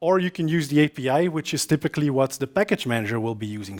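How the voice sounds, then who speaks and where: A man with a Flemish accent talks at a very fast pace. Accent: Belgian Dutch (Flemish) accent in English. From Belgium. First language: Dutch. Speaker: software developer and conference speaker. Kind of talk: conference talk. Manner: frequent filler hesitations.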